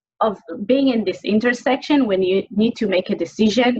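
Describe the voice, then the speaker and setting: A woman speaks in an Israeli accent at a medium pitch with lively intonation. Her pace is fairly quick, and background noise is noticeable. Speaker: webinar host. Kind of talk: interview. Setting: video call.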